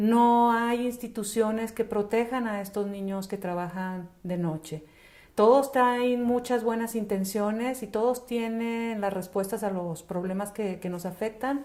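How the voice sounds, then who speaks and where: Her voice fairly high in pitch with a dark, mellow tone, a woman speaks slowly-ish and with fairly even intonation at a fairly slow pace. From northern Mexico, Chihuahua and Ciudad Juárez. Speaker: children's charity worker. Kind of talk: interview.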